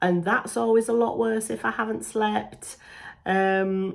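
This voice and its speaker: A woman uses a plain, everyday voice at a medium pitch and a moderate pace. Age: 40s. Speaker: beauty YouTuber. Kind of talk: casual talk to camera.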